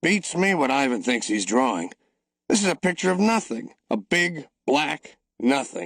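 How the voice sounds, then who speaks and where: In a put-on character voice, a man speaks raspily at a fairly high pitch and moderate pace, his pitch swinging very widely while his loudness stays very even. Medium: read story. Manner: gruff, offhand.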